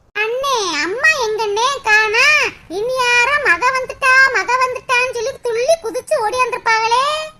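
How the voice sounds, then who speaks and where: Using a cartoonish character voice, a woman speaks at a fairly slow pace with an extremely high pitch. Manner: sweet-talking.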